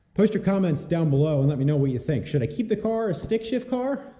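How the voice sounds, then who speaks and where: A man's dark, mellow voice with lively intonation, in audible room echo. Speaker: car builder and YouTuber. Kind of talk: casual vlog update. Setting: home garage.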